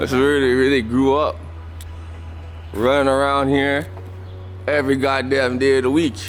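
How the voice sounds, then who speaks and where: Medium-pitched man at a moderate pace, with long, frequent pauses, very even loudness, ordinary pitch variation and audible room echo. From Canada, Toronto. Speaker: podcast host. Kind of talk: casual vlog walk-and-talk. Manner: animated.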